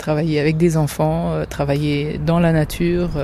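A woman's very deep, low voice, monotone and flat in intonation, over noticeable background noise. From France, Germany and Lebanon. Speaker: mother who co-founded a forest school. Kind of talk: interview testimony.

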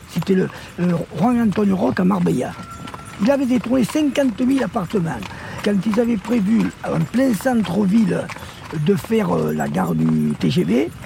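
Against noticeable background noise, a man speaks at a fairly slow pace with very even loudness and long, frequent pauses. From Corsica. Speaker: horse-drawn carriage dealer, former supermarket owner. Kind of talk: casual interview.

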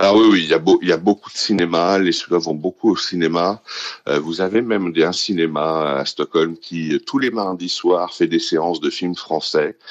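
At a moderate pace, a man speaks in a very deep, low voice with fairly even intonation. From Paris, France. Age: 50s. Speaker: expatriate interviewee. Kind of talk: interview. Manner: halting, many fillers.

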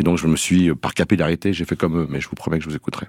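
Dry and close, the sound has no echo. The man's pitch is very deep and low. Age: 60s. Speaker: television producer. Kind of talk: radio interview. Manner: halting.

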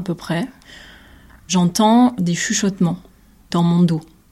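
At a very slow pace, a woman speaks in a somewhat breathy voice with a fairly low pitch. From southern France, Nîmes. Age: 20s. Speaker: visual artist. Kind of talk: testimony.

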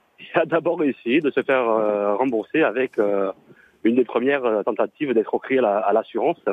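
Speaking fairly quickly, a man keeps his loudness very even, his medium-pitched voice showing ordinary pitch variation. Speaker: caller. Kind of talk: casual chat. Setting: phone call. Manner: hesitant.

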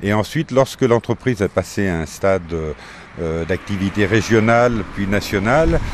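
A man with a fairly low pitch speaks fairly slowly, his intonation lively. Noticeable background noise is present. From Faramans, Isère, France. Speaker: former company head. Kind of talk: interview.

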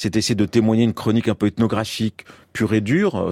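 At a fairly quick pace, a man of medium pitch speaks with a dry, close sound and no echo. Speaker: photographer. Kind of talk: radio interview. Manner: fast; halting.

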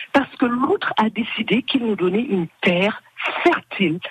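Speaking very slowly, a woman's voice moves through very wide pitch swings in a dry, close sound with no echo. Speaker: association member. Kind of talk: radio interview.

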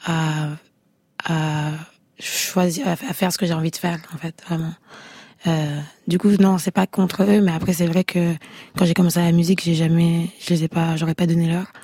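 A woman with a fairly low, husky, somewhat breathy voice and a dark, mellow tone speaks at a moderate pace in a flat monotone, leaving long, frequent pauses. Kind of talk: casual interview. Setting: radio studio.

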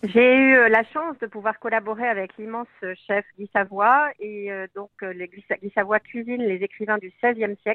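Fairly even intonation carries this speech along at a fairly slow pace. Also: woman. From southern France. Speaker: author and food writer. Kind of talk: radio interview. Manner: hesitant, many fillers.

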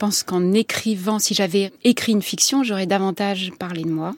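Moderate-paced speech from a woman at medium pitch, ordinary pitch variation, in a dry, close sound with no echo. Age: 50s. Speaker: novelist and journalist. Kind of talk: interview. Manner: halting.

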